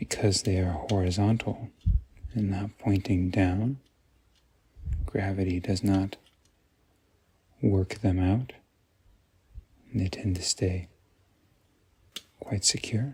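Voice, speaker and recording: Soft-spoken and somewhat breathy, a man talks very slowly in a calm tone with a fairly low pitch, a dark, mellow tone, fairly even intonation and long, frequent pauses. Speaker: optical professional, eyewear dispenser. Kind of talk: ASMR product walkthrough, soft-spoken. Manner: soft-spoken, calm.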